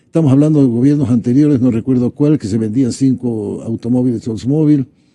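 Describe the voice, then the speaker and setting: In a dark, mellow tone, a man speaks at a fairly quick pace with medium pitch and fairly even intonation. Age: 70s. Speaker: economist. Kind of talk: political talk show discussion.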